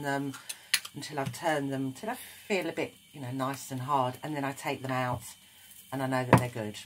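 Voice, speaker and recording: Someone speaks with a British accent against noticeable background noise. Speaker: craft tutorial maker. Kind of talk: tutorial.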